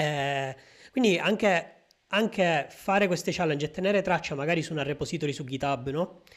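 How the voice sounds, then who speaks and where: A man talks with a fairly high voice, at a moderate speed and with ordinary variation in pitch, on a very clean recording where the background is silent. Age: 20s. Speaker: podcast host and data scientist. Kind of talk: interview. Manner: hesitant, many fillers.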